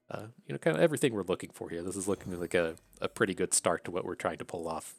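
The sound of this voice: Speaking in an Appalachian accent, a man talks at a fast pace with lively intonation, vocal fry and a low pitch. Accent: Appalachian American.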